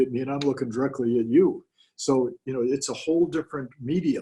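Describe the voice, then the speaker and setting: A man speaks with an American accent in a dark, mellow tone. His voice is somewhat breathy, with fairly even intonation. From US West, Southern California. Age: 70s. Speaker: real estate coach. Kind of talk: interview.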